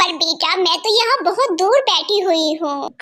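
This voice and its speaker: A female-sounding put-on character voice, pitched extremely high. She speaks at a moderate pace. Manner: loving, gentle.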